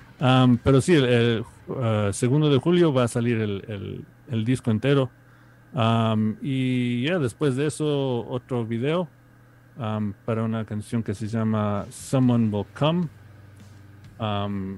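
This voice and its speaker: The speaker is a man at a medium pitch. He goes at a very slow pace with ordinary pitch variation. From New York, Ecuadorian family. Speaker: musician. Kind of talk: interview. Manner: halting.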